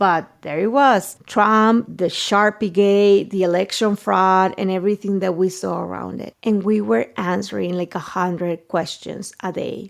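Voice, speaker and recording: At a fairly slow pace and with hardly any pauses, a woman speaks in a medium pitch with ordinary pitch variation on a very clean recording with a silent background. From Mexico. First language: Spanish. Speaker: journalist. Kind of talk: interview.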